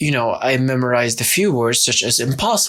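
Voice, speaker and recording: A medium-pitched man with an Arabic accent. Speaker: YouTuber. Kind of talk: vlog monologue.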